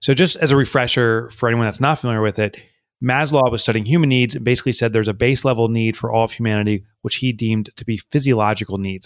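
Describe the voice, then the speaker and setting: The recording is very clean, with a silent background and a dry, close sound with no echo. The speech moves at a fairly quick pace with ordinary pitch variation. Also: man. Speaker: business author. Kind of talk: interview. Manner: conversational.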